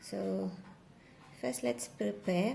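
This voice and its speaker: Over light background noise, a woman speaks at a very slow pace in a dark, mellow tone with very wide pitch swings. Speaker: crochet maker and tutorial creator; tutorial creator. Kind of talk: tutorial. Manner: soft-spoken. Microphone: phone near.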